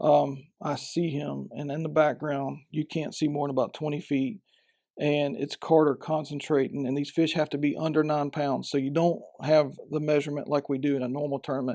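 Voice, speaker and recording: A man with a Southern US accent speaks at a fairly quick pace and a fairly high pitch, his tone dark and mellow and his intonation flat and monotone. The recording is very clean, with a silent background. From Florida Panhandle, Bay County. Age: 40s. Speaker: professional fisherman. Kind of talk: podcast interview.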